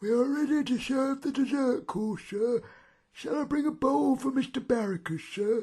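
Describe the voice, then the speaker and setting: A man puts on a character voice at an extremely high pitch. His pitch varies in an ordinary way. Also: moderate pace. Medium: read story. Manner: polite, formal.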